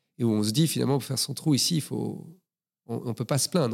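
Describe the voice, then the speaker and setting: The recording is very clean, with a silent background. A man speaks in a normal speaking voice at medium pitch and a fairly quick pace, with ordinary pitch variation. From Belgium, Brussels. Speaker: screenwriter and film director. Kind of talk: interview.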